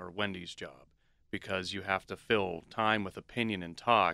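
On a very clean recording with a silent background, a man speaks at a moderate pace in a bright, sharp tone with a fairly low pitch. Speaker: radio and podcast producer. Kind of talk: casual chat.

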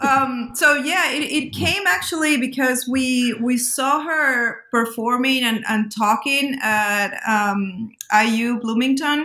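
A woman with a high pitch talks at a very slow pace, yet with hardly any pauses. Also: ordinary pitch variation. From Peru, Lima. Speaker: academic editor of a punk studies volume. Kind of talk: casual interview. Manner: halting, many fillers.

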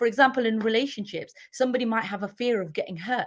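A woman's fairly high voice in a British accent, with ordinary pitch variation. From UK. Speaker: empowerment and leadership coach. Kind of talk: casual interview.

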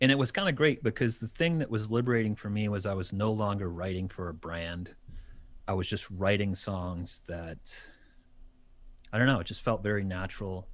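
At a moderate pace, an unremarkable speaking voice talks with ordinary pitch variation. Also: man, fairly low pitch for a man. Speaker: musician. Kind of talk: casual interview chat. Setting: radio studio.

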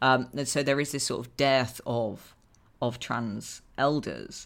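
A woman's very deep, low voice with vocal fry, fairly even intonation and an English accent. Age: 20s. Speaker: author. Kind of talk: casual chat. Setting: video call.

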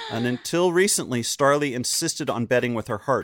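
A man speaks at medium pitch and a moderate pace, with ordinary pitch variation. It is a plain, everyday voice. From North Carolina, Chapel Hill. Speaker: podcast guest, comedian and podcaster. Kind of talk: casual chat. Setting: video call.

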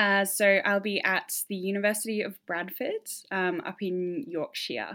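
A woman at medium pitch with a bright, sharp tone, a fairly slow pace and ordinary pitch variation. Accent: Australian. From Tasmania, Australia. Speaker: campaign founder and scholarship recipient. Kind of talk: interview. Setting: hotel quarantine room.

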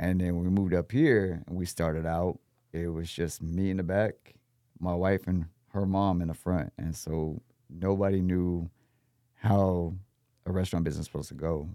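A man speaks with an American accent at a moderate pace, his pitch very deep and low. His tone is dark and mellow, and his intonation stays fairly even. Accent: Texan, with a slight New Orleans-like lilt. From Texas. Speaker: chef, restaurant owner and military veteran. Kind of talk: casual interview. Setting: podcast studio. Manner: polite, formal, says sir and ma'am.

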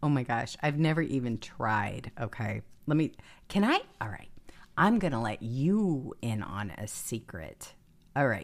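With an American accent, a woman speaks fairly slowly in an animated tone, her very deep, low pitch moving in very wide swings. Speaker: political commentary show host. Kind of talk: political commentary monologue. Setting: live stream.

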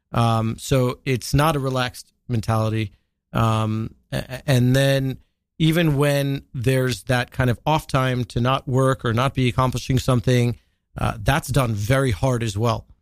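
Loudness stays very even at a fairly slow pace on a very clean recording with a silent background. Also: man, medium pitch for a man, fairly even intonation. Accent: American. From New York, Long Island. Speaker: digital marketing entrepreneur. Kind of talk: interview. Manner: hesitant, many fillers.

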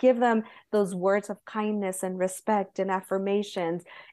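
A woman's medium-pitched voice with an American accent, a dark, mellow tone, and a quiet background. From Southern California. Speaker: Montessori guide. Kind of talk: interview.

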